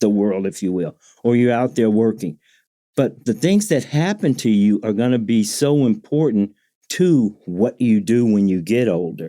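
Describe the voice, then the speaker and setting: With an American accent and a dark, mellow tone, a man speaks at a medium pitch and fairly slow pace with lively intonation, on a very clean recording with a silent background. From US Midwest, inner city Chicago. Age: 70s. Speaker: retired Air Force veteran, workshop leader. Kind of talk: casual interview chat.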